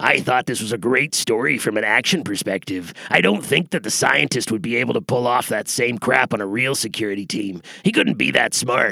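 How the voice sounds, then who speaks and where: In a put-on character voice, a man speaks at a medium pitch and a fairly quick pace, with lively intonation and hardly any pauses. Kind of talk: comic military jargon. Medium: audio drama. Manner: clipped, formal, military.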